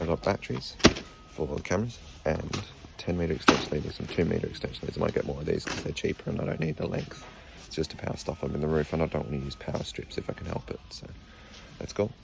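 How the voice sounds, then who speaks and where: A man with an Australian accent and a very deep, low pitch, talking very fast with ordinary pitch variation over noticeable background noise. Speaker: vlogger. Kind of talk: casual vlog. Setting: in a hardware store.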